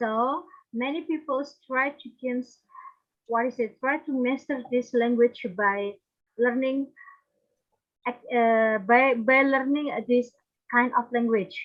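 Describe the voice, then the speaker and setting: A woman's high-pitched voice with an Indonesian accent, very slow, with fairly even intonation and long, frequent pauses. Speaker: conference presenter. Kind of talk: academic presentation. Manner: halting.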